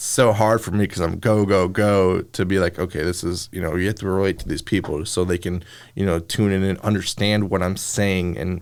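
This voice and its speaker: A man speaks with an American accent and a very deep, low pitch. His intonation is fairly even, and the recording is very clean with a silent background. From northern Illinois, Chicago area. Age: young. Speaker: TV news reporter. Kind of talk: casual interview chat. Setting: studio. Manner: fast.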